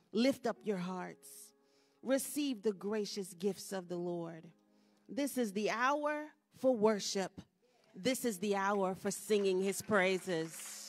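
Over faint background music, a woman speaks at a very slow pace. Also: ordinary pitch variation. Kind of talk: call to worship. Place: church. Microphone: podium.

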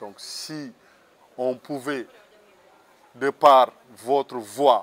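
Light background noise sits behind a man speaking at a fairly high pitch. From Senegal. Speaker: former pilgrim walker, parish group member; interviewee. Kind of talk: testimony. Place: garden. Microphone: lapel.

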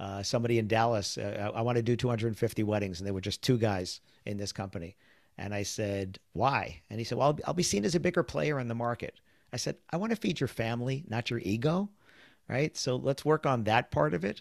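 An ordinary speaking voice, a man at medium pitch with lively intonation and a fairly quick pace, dry and close with no echo, on a very clean recording with a silent background. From US Northeast, New York City (Queens). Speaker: podcast host, wedding business sales trainer. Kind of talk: interview podcast chat.

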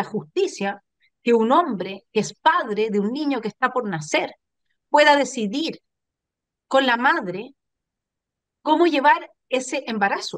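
A woman with a high voice talks fairly slowly, with very wide pitch swings and long, frequent pauses, in a dry sound with no echo over a quiet background. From Chile. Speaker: political commentator, channel host. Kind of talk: political talk show discussion. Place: home room. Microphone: video call.

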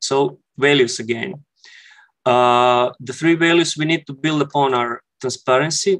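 The speaker has a Croatian accent and a fairly even intonation. The background is quiet. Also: man. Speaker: architect; conference presenter. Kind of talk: conference presentation. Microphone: headset.

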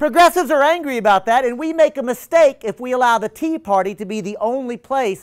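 A man with an American accent talks at a very fast pace and an extremely high pitch, animated and with lively intonation. The background is quiet. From Texas. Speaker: attorney and political organizer. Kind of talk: public lecture. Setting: stage with live audience. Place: classroom.

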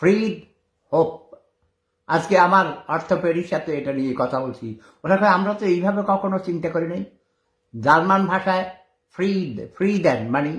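This man's voice sits high for a man and has an animated tone. His pitch varies in an ordinary way. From Bangladesh. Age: 70s. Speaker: war veteran and online commentator. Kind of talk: casual live-stream monologue.

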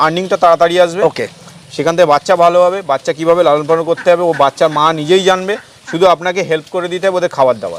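A man speaks in a high pitch with ordinary pitch variation. Noticeable background noise can be heard. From West Bengal, North 24 Parganas. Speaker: goat farmer. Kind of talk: interview. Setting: outdoors.

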